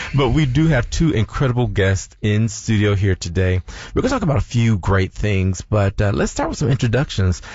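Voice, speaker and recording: With an American accent, a man talks at a fairly quick pace and a fairly low pitch, his intonation lively over music in the background. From Michigan, US Midwest. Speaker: radio show co-host. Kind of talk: casual radio talk show chat. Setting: radio studio.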